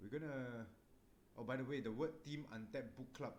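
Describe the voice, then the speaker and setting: A man is speaking. Room echo is audible. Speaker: book club host. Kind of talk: casual chat. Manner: soft-spoken.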